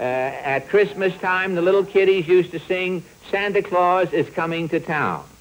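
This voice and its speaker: A man with a high pitch at a fairly slow pace, over noticeable background noise. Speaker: comedian, show host. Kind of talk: comic monologue.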